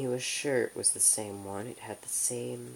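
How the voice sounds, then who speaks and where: Speaking very slowly, a soft-spoken man talks with an American accent. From United States. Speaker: ASMR creator. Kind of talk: ASMR audiobook reading.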